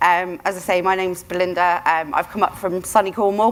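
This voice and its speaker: The woman talks fairly quickly with fairly even intonation, and noticeable background noise is present. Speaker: business consultant and author. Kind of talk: conference talk. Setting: stage at a conference. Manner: loud.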